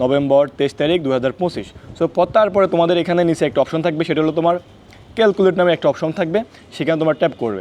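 Ordinary pitch variation in a man's high voice. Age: 20s. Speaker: YouTuber giving defence recruitment guidance. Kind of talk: tutorial. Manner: casual.

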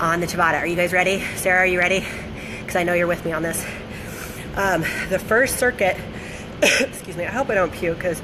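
A woman talks at a fairly quick pace. Noticeable background noise runs beneath her. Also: ordinary pitch variation. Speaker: fitness coach. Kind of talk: casual livestream workout instruction. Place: gym. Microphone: phone near.

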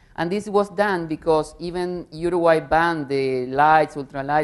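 A woman speaks with ordinary pitch variation. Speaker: tobacco control panelist; panelist. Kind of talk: panel discussion. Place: hall. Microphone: lapel.

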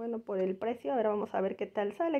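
A woman's fairly high voice with ordinary pitch variation against a quiet background. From Mexico. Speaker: YouTuber, mother; home vlogger. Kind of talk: shopping haul vlog. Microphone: phone near.

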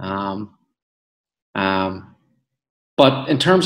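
A man with a Belfast accent talks over a quiet background. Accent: Belfast Northern Irish. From west Belfast, Northern Ireland. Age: 30s. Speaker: actor. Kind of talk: interview. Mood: relaxed, reflective, smiling. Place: home room. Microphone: video call.

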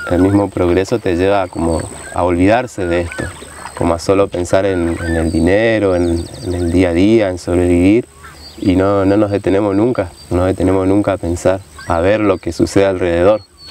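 Over light background noise, a man with a very deep, low pitch talks at a moderate pace in monotone, flat intonation, the sound dry with no echo. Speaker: kayak guide. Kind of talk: documentary interview talk. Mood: calm, thoughtful. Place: waterside.

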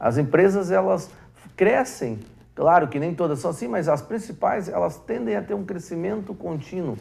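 At a moderate pace, a man speaks in a high pitch. His pitch swings very widely. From Brazil, Vale do Taquari, Rio Grande do Sul; Rio Grande do Sul, Brazil. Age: 50s. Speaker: TV host, business professor. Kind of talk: TV interview. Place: studio.

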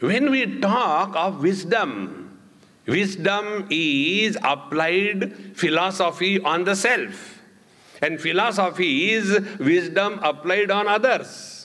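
Over a quiet background, a man with an Indian accent speaks very slowly in a high pitch, his voice raised and projected, with ordinary pitch variation and very even loudness. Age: 70s. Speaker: spiritual teacher. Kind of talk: spiritual discourse. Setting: stage with audience. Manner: conversational and humorous. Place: hall.

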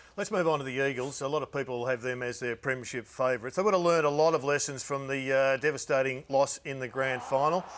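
Talking at a very fast pace with hardly any pauses, a man with an Australian accent uses ordinary pitch variation. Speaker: football show host. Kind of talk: casual chat. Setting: studio. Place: studio. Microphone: lapel.

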